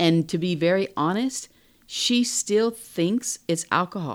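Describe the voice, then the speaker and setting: In a very clean recording with a silent background, a woman with a normal speaking voice talks at a fairly low pitch with lively intonation. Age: 50s. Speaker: host's mother. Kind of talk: casual chat.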